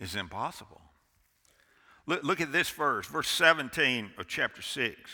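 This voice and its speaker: On a very clean recording with a silent background, a man with a fairly high pitch, vocal fry and a bright, sharp tone speaks at a fairly slow pace, with very wide pitch swings and long, frequent pauses. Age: 60s. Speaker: pastor. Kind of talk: sermon. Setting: church. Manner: animated.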